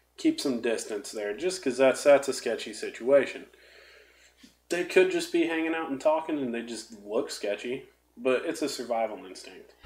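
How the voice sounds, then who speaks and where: A man speaks in a fairly high voice with a Southern US accent and lively intonation. His pace is moderate, and his loudness swings widely. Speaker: podcast co-host. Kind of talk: casual chat.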